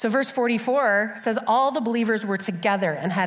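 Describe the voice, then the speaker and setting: A woman's animated voice at a medium pitch, with lively intonation and a moderate pace, over noticeable background noise. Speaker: guest preacher. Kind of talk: sermon. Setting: stage with audience. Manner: loud.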